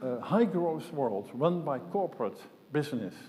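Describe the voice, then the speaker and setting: There is audible room echo as a man talks at a fairly slow pace with a fairly high pitch and a dark, mellow tone. His intonation is lively, and vocal fry shows through. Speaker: conference speaker, systems modeller. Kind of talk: conference talk.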